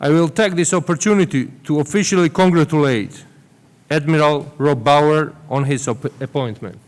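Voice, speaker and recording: A man speaks at a moderate pace in a fairly high voice, with ordinary pitch variation. The recording is very clean, with a silent background. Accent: Georgian. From Georgia. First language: Georgian. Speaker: government minister. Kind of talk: formal welcome speech. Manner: formal.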